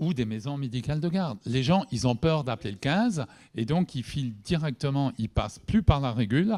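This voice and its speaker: In a dark, mellow tone, a man speaks at a fairly quick pace with lively intonation, on a very clean recording with a silent background and a dry, close sound with no echo. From Alsace, Haut-Rhin. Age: 60s. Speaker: doctor and workshop moderator. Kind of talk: panel discussion.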